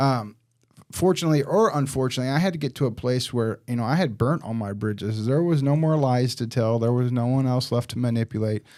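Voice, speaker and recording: Speaking very fast, a man with a Midwestern American accent has a dark, mellow tone. The recording is very clean, with a silent background. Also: medium pitch for a man, ordinary pitch variation. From Southern Illinois, small town. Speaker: staffing business director and recovery advocate. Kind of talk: podcast interview, personal testimony. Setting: studio with cameras. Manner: casual, frequent fillers.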